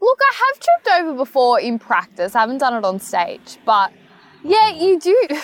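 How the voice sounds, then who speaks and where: A woman with an Australian accent speaks at a moderate pace, her extremely high pitch making very wide swings. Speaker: pageant titleholder. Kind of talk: casual interview. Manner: loud; talkative.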